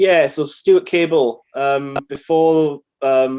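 A man talks in a Welsh accent with a dark, mellow tone. His intonation is monotone and flat. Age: 30s. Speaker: musician. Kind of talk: casual chat.

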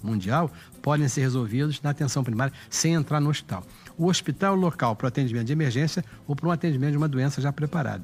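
A man in a Carioca accent talks at a very fast pace with a fairly high pitch, ordinary pitch variation and very even loudness, with music in the background. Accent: carioca Brazilian Portuguese. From Rio de Janeiro. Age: 70s. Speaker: city councillor and pediatrician. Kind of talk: casual interview.

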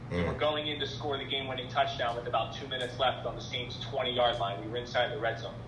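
Amid audible room echo and noticeable background noise, a man with an American accent talks at a very fast pace with hardly any pauses, his medium pitch following fairly even intonation. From Philadelphia. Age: young. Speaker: TV sports anchor. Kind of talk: interview.

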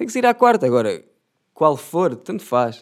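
With a European Portuguese accent, a man speaks in an animated tone at a moderate pace, his intonation lively. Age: 20s. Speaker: youtuber. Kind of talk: casual monologue.

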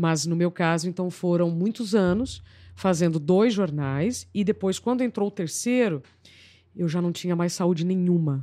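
On a very clean recording with a silent background, a woman with a fairly low pitch and a dark, mellow tone speaks at a fairly slow pace with ordinary pitch variation. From Paraná, Brazil (small inland town). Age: 40s. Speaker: journalist and TV presenter. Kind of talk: podcast interview. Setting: studio, live broadcast.

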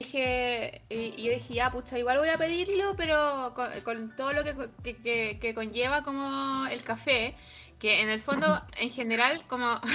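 A woman's high voice with a Chilean accent, fairly slow pace and ordinary pitch variation. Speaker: podcast co-host and musician. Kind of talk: casual chat.

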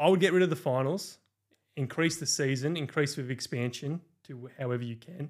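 Against a silent background in a very clean recording, a man with an Australian accent speaks fairly quickly at a fairly high pitch, with ordinary pitch variation and big swings in loudness. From rural New South Wales, Australia. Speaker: football content creator. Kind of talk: casual chat.

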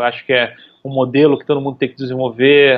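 At a fairly quick pace, a man talks with a medium-pitched voice. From Brazil, Recife (Pernambuco). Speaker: UX design director. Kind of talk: podcast interview. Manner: halting, many fillers and repetitions.

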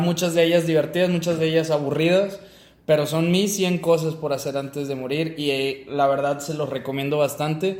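A normal speaking voice carries fairly even intonation. The pace is moderate. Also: man. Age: 20s. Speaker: podcast co-host, mechatronics engineer. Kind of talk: casual chat.

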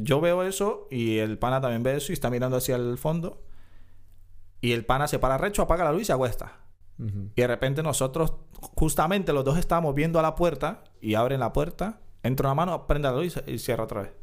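Lively in intonation, a man speaks at a fairly quick pace and fairly high pitch in a normal speaking voice. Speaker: podcast co-host. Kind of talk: casual chat.

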